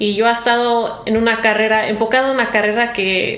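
Amid audible room echo and noticeable background noise, a woman speaks at a moderate pace. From US Midwest, Chicago (Mexican-born). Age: 20s. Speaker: actress. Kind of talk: casual interview chat. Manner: halting, searching for words in Spanish.

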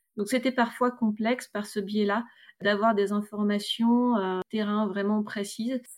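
In a very clean recording with a silent background, a woman with a fairly high pitch speaks at a fairly slow pace in a monotone, flat intonation. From northern France, Roubaix area. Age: 30s. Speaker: eco grocery store co-owner. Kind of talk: testimony. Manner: hesitant, many fillers.

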